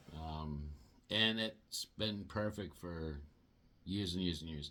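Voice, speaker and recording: A man speaks in a relaxed tone. Music plays in the background. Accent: American. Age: 60s. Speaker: product reviewer. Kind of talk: product review. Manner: casual, relaxed.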